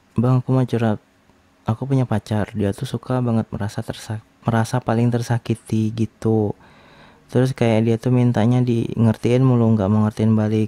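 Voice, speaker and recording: A man speaks in a flat monotone, the sound dry and close with no echo. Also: medium pitch for a man, moderate pace. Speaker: ASMR creator. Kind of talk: reading and answering anonymous questions. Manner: casual, soft-spoken.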